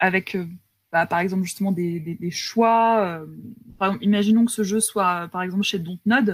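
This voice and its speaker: In a very clean recording with a silent background, a woman uses a plain, everyday voice at medium pitch, keeping a moderate pace and fairly even intonation. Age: 30s. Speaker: video game scriptwriter. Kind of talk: casual interview. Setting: live stream.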